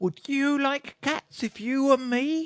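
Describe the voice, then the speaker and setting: A put-on character voice comes out shrill and high-pitched. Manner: passionate, upset.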